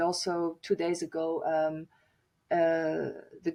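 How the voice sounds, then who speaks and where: This woman has a fairly low-pitched voice. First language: German and French. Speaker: author and singer. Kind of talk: podcast interview. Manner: halting, many fillers and restarts.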